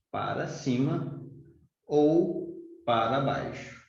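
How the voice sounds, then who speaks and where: A man with a fairly high pitch and audible room echo. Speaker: math teacher. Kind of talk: lecture.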